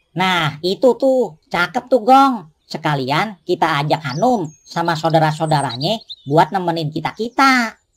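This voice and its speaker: This is a cartoonish character voice at middle pitch. It moves at a fairly slow pace with hardly any pauses. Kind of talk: cartoon dialogue. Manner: casual, joking.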